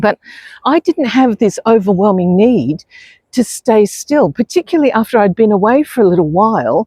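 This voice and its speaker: A woman with an Australian accent speaks at a fairly high pitch in a dark, mellow tone, her pitch swinging very widely. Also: moderate pace, dry, close sound with no echo. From New Zealand. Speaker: expat lifestyle vlogger. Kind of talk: casual vlog monologue. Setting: outdoors on a beach. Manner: conversational with frequent fillers.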